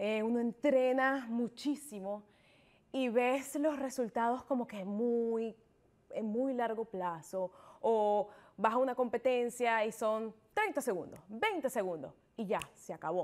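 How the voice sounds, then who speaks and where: A woman talks at a very slow pace. Her pitch is fairly high, with ordinary variation. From Venezuela. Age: 20s. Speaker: triathlete; interview guest. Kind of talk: interview. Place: studio. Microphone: lapel.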